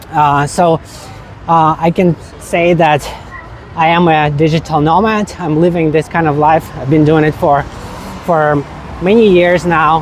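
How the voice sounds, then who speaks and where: Fairly slow speech full of long, frequent pauses over noticeable background noise. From Ukraine, Kyiv. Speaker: travel vlogger. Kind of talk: travel vlog. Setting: outdoors walking in a city. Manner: casual with many fillers.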